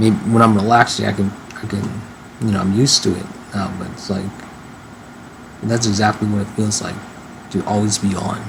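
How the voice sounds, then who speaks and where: A man speaks at a fairly quick pace, with long, frequent pauses, a fairly low pitch and fairly even intonation. Noticeable background noise is present. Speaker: vlogger. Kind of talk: casual monologue vlog. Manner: fast; halting, repetitive.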